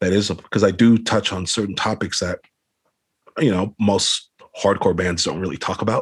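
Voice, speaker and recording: A man with an American accent speaks with an unremarkable speaking voice. His pitch is fairly low, and his intonation fairly even. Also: moderate pace. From Los Angeles, California. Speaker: hardcore band vocalist. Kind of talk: casual interview chat. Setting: video call.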